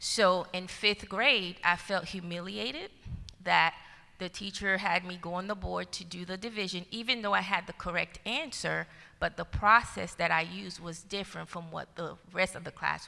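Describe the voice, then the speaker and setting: A woman speaks with vocal fry. Her loudness swings widely. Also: medium pitch for a woman, ordinary pitch variation, moderate pace. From Haiti. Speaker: school district educator. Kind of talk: panel discussion.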